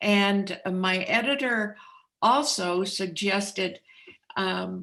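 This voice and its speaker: Very slowly, a woman speaks in a bright, sharp tone with ordinary pitch variation. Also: medium pitch for a woman. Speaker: author. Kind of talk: interview.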